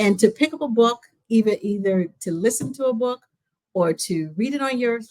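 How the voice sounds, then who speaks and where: A woman's unremarkable speaking voice, fairly quick in pace, with lively intonation. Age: 60s. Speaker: librarian. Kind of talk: interview.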